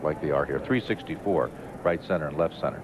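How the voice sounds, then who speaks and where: A man's voice over noticeable background noise. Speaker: baseball broadcaster. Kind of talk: baseball color commentary.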